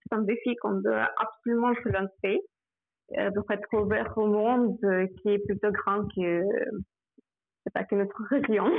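A woman in a Russian accent, at a fairly slow pace with long, frequent pauses, fairly even intonation and very even loudness. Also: medium pitch for a woman. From Russia, Samara. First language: Russian (speaking French). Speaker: migration specialist, former European volunteer. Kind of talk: radio interview. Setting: phone call. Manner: halting.

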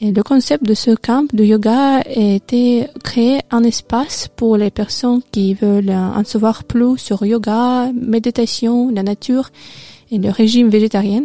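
With a Russian accent, a woman speaks very slowly in a dark, mellow tone at a fairly high pitch, her intonation fairly even and her loudness very even, in a dry, close sound with no echo. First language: Russian (speaking French). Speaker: radio co-host and French language student. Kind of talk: casual radio chat. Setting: radio studio. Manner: halting, hesitant.

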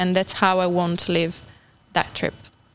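With an Italian accent, a woman of medium pitch talks at a fairly quick pace over music in the background. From Italy (Turin). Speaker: volunteer. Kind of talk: interview.

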